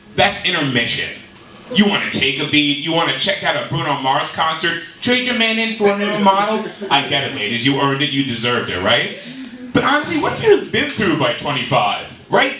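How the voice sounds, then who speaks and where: In an American accent, a man speaks fairly quickly at a high pitch with very wide pitch swings. Noticeable background noise and audible room echo surround him. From New York. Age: 30s. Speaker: stand-up comedian. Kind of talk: stand-up.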